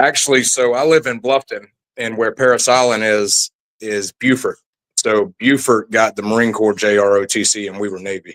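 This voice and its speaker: In a South Carolina Lowcountry accent, a man speaks at a medium pitch and moderate pace with fairly even intonation, in a dry, close sound with no echo. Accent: Southern US (South Carolina Lowcountry). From US South, South Carolina Low Country. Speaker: military veteran. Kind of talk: interview testimony.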